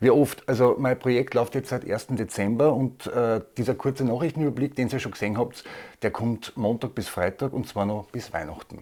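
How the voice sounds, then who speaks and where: Dark, mellow tone in a man's voice of medium pitch. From Austria. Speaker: comedy news video maker. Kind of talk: viewer Q&A, casual monologue. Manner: hesitant with fillers.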